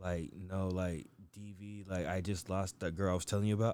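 A man with an American accent and a very deep, low pitch, fairly quick and monotone, with flat intonation. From US. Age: 30s. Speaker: podcast guest. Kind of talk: casual chat.

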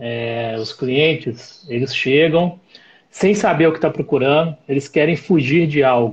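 A man's somewhat breathy voice, fairly high in pitch, with ordinary pitch variation and a fairly slow pace. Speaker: live stream host, mountain guide. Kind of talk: live stream interview. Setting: live stream.

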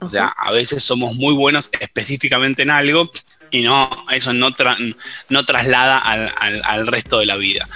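Moderate pace from a man with an Argentine accent, medium pitch and ordinary pitch variation, amid noticeable background noise. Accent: Rioplatense Argentine Spanish. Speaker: biologist and researcher. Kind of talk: interview. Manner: hesitant, with many fillers.

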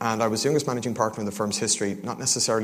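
A man speaks with an Irish accent at a fairly low pitch. His intonation is monotone and flat. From Ireland, Dublin. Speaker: crypto fund co-founder. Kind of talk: conference talk. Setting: stage with audience.

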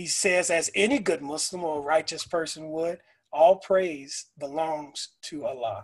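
Using a normal speaking voice, a man with a fairly high pitch talks fairly slowly with ordinary pitch variation. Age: 40s. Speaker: school principal. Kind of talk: casual chat.

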